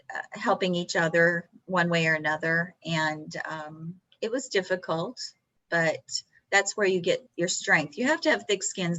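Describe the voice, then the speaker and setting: A woman speaks in a fairly low pitch at a moderate pace. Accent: Texan. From Texas. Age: 60s. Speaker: professional poker player. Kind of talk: interview.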